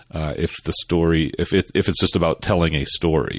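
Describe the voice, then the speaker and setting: A man speaks at a fairly quick pace in an American accent, his pitch very deep and low with vocal fry. The recording is very clean, with a silent background. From suburban US. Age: 50s. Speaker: film critic panelist. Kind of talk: casual film discussion.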